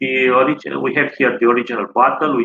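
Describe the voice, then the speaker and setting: A man with a Romanian accent, at a moderate pace, with ordinary pitch variation. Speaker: tourist guide. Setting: live stream. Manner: halting, full of 'uh' fillers and repeated words; informative and earnest, reeling off dates, names and fragrance notes. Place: home room. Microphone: video call.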